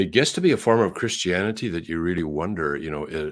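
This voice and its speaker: A man's very deep, low-pitched voice with vocal fry, ordinary pitch variation and a Canadian accent. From Canada. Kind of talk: interview conversation. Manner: halting, many fillers.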